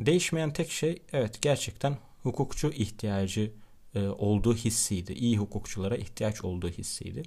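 Lively in intonation and at a moderate pace, a somewhat breathy, dark, mellow voice is captured on a very clean recording with a silent background. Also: man. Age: 20s. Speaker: podcast host, law student. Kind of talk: monologue. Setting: at home.

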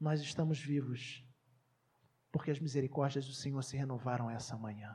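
Her voice sits very deep and low for a woman, with a dark, mellow, somewhat breathy tone. Intonation stays fairly even, and the room echo is audible. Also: moderate pace. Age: 30s. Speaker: pastor. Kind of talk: sermon.

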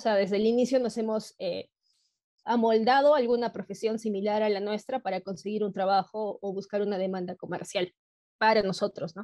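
A woman's fairly high pitch with a dark, mellow tone and fairly even intonation, the sound dry and close with no echo. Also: moderate pace. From Peru. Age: 30s. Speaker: biotech entrepreneur. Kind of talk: interview.

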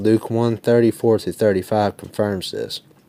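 Recorded very cleanly against a silent background, a man with a fairly low pitch sounds dry and close with no echo. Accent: Southern US. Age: 20s. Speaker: Protestant debater. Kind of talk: formal debate.

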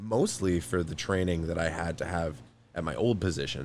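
The man's pitch is very deep and low. His pace is fairly quick. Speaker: podcast host. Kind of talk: casual comedic chat.

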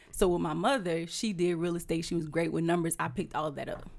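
A very clean recording with a silent background, and a voice with vocal fry. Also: woman. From Louisiana (Houma). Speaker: entrepreneur and realtor. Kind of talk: casual interview.

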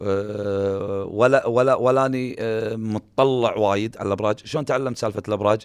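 A man with a Kuwaiti accent speaks at a medium pitch, his intonation fairly even. The recording is very clean, with a silent background. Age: young. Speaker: retired footballer. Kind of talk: casual interview. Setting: radio studio. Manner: sounds agitated when speaking.

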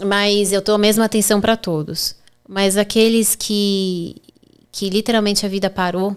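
Monotone and flat in intonation, a woman talks at a medium pitch and a moderate pace. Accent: São Paulo. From Brazil, São Paulo. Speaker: personal injury lawyer. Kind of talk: podcast interview.

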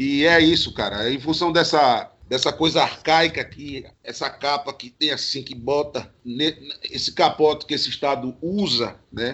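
Speaking at a fairly slow pace with hardly any pauses, a man uses a fairly high pitch. His loudness swings widely. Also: ordinary pitch variation. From Garanhuns, Pernambuco, Brazil. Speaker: DJ and singer. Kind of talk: casual chat. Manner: animated.

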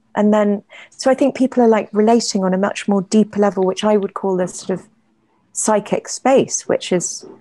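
Dark, mellow tone with an English accent, fairly even intonation and big swings in loudness, dry and close with no echo. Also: woman, medium pitch for a woman, moderate pace, quiet background. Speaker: playwright and poet. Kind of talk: casual chat. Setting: video call.

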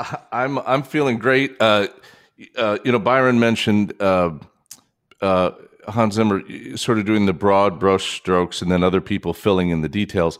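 A man's plain, everyday voice at a fairly low pitch, with ordinary pitch variation and a moderate pace. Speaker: podcast co-host. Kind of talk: casual chat.

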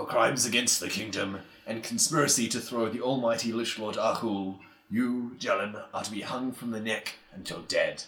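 A man does a guttural, put-on character voice at a medium pitch and a moderate pace. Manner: formal, grim, pronouncing a sentence.

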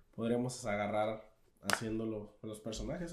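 A man's voice with audible room echo. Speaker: podcast co-host. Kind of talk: casual chat.

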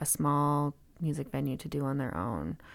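Very deep, low pitch from a woman with a Western Canadian accent, at a fairly slow pace on a very clean recording with a silent background. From Canada, interior of British Columbia (Kelowna). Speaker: music venue owner. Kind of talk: interview conversation.

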